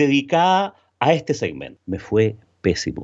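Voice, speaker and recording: Vocal fry runs through a man's fairly high voice. He speaks at a fairly slow pace with very wide pitch swings. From Chile. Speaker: B2B sales consultant and trainer. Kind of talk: interview.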